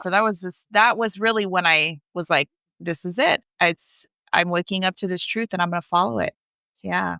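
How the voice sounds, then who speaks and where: Fairly low in pitch, a woman's bright, sharp tone comes through dry and close with no echo, on a very clean recording with a silent background. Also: ordinary pitch variation, moderate pace. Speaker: witch, spiritual guide. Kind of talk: podcast interview answer.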